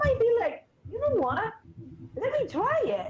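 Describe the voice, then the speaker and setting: Noticeable background noise surrounds a woman speaking with an Argentine accent. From Argentina, Buenos Aires. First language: Spanish. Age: 50s. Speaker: therapist. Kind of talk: podcast interview.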